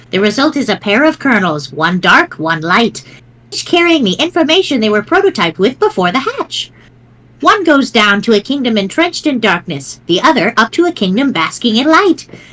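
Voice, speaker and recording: A female-sounding voice performs a put-on character. The pace is fairly quick and the pitch swings very widely. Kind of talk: old lady voice. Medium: read story. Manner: sweet, teasing, chuckling.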